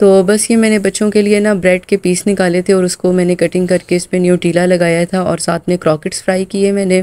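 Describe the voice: Talking at a fairly quick pace with few pauses, a woman with a fairly low pitch has a dark, mellow tone that is also clear and smooth, with little pitch movement.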